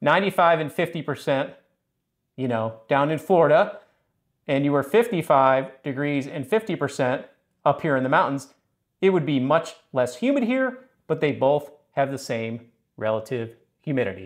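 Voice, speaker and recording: A man at a fairly slow pace, lively intonation, quiet background. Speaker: HVAC educator. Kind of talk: tutorial.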